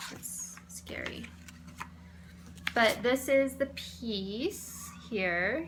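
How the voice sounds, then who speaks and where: A woman's voice amid noticeable background noise, with audible echo from the room. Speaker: cross stitch vlogger. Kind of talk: casual show-and-tell vlog. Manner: halting, many fillers and repeats.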